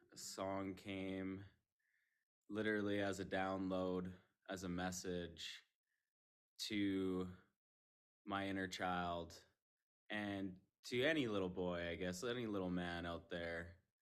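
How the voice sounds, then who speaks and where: With long, frequent pauses, a man with a very deep, low pitch speaks at a very slow pace and fairly even intonation amid audible room echo. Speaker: musician guest. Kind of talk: casual chat.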